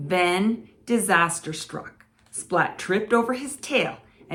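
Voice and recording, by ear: Someone reads aloud, using a natural voice.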